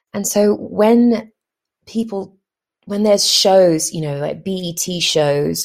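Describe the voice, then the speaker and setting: With an English accent and some vocal fry, a woman speaks with ordinary pitch variation. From London, England. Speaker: actress. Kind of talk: personal monologue. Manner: hesitant, many fillers.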